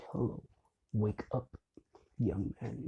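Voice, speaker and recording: The speaker performs a put-on character voice. The sound is dry and close, with no echo. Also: man, medium pitch for a man. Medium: solo performance. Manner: polite, measured.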